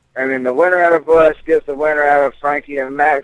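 A very fast pace and fairly even intonation in a dry, close sound with no echo. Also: man. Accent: Southern US. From Mississippi, US South. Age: 20s. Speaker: professional MMA fighter. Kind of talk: interview.

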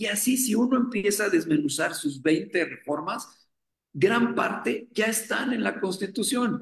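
Here a man speaks with a high pitch and lively intonation. His pace is fairly slow. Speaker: economist, academic director. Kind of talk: radio interview.

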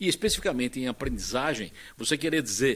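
Lively intonation marks the speech of a man with an ordinary speaking voice. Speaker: internet pioneer and executive. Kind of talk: panel discussion.

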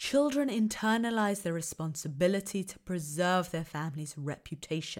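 In a very clean recording with a silent background, a woman with a southern English accent speaks at a moderate pace and medium pitch. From southern England, Kent. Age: 30s. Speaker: podcast host, academic researcher. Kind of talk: lecture-style monologue.

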